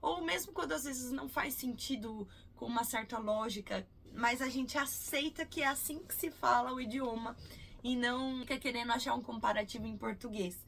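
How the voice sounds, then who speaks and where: High-pitched and lively in intonation, a woman's voice comes through. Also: moderate pace. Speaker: English teacher. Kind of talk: tutorial.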